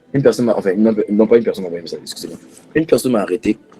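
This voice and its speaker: A man's voice sits at a medium pitch. Behind him, there is music in the background. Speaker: preacher. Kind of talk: prayer; sermon.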